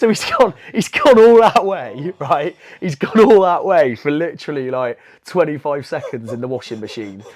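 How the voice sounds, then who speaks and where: With a Bristolian accent, a man talks at a moderate pace in a fairly high voice, his pitch swinging very widely and his loudness rising and falling sharply. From England, Bristol. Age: 30s. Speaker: jiu-jitsu brown belt and teacher. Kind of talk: casual podcast chat. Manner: animated.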